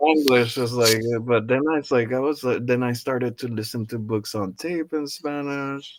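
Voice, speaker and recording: A man with a plain, everyday voice speaks in an American accent at medium pitch and a moderate pace, with ordinary pitch variation. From Nicaragua, raised in the US from age five. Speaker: podcast host. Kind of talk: casual chat.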